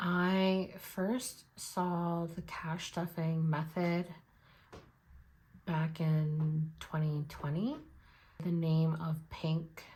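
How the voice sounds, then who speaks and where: A woman speaks very slowly with long, frequent pauses, at a fairly low pitch and in a monotone, flat intonation. Her tone is dark, mellow and somewhat breathy. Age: 20s. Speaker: budgeting vlogger. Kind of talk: casual chat.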